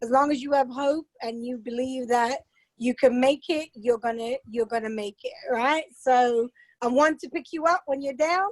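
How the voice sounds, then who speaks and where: A woman at high pitch and moderate pace, with ordinary pitch variation, in a dry, close sound with no echo. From England. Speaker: motivational speaker. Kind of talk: casual chat.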